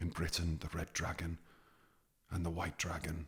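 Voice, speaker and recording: A soft-spoken voice with a Welsh accent. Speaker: ASMR storyteller. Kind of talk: ASMR story narration. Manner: whispering.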